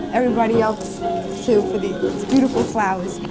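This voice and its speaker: Clear music plays in the background as a woman speaks at a fairly slow pace. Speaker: TV show host. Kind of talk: show hosting talk. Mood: surprised, happy, a bit flustered. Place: studio. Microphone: handheld.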